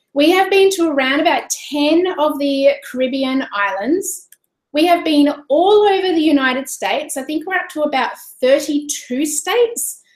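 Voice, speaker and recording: Speaking in an Australian accent, a woman uses a high pitch and lively intonation. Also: moderate pace. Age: 40s. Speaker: online business coach. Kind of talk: webinar presentation. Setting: live stream. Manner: animated.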